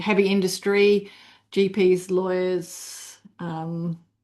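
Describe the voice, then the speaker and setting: A woman with a British accent speaks at a medium pitch and a very slow pace. Her dark, mellow tone holds a monotone, flat intonation. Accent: UK. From UK. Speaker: leadership consultant. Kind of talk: webinar presentation.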